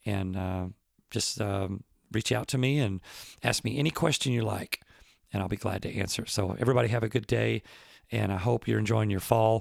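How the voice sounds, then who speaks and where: On a very clean, dry, close recording with a silent background and no echo, a man with a fairly low pitch and vocal fry talks at a fairly quick pace, with ordinary pitch variation and long, frequent pauses. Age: 50s. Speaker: professional drummer and podcast host. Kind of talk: casual solo talk answering listener questions. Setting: at home.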